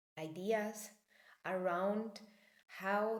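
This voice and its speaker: With audible room echo around her, a woman speaks very slowly in a Spanish accent. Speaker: personal development coach. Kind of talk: talk to camera, spiritual teaching. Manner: halting, many fillers.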